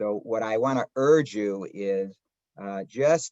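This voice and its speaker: A man with a Chicago accent, in a dry, close sound with no echo. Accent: Chicago twang. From Chicago area, US Midwest. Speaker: rabbi and history professor. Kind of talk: lecture. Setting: video call. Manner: halting, many filler words.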